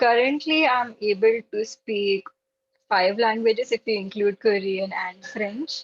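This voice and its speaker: A woman with a Gujarati accent speaks in a fairly high pitch with ordinary pitch variation. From India, Maharashtra. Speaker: language learner at online meetup. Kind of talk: casual chat.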